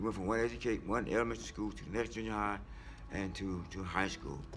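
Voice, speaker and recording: Someone with an American accent talks at a very fast pace with very wide pitch swings, with music in the background and audible room echo. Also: man. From Washington, DC. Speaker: senior housing resident. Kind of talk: interview testimony.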